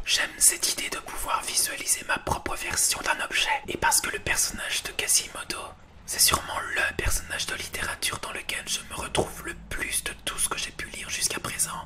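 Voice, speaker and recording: Amid noticeable background noise, a man whispers at a moderate pace. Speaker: booktuber. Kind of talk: ASMR reading of subscribers' testimonies. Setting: home recording, bedroom. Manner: soft-spoken.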